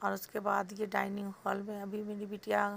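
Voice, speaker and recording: The woman's pitch sits in the medium range. She delivers her words with monotone, flat intonation. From Bihar, India (Danapur near Patna). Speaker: vlogger. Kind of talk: vlog narration.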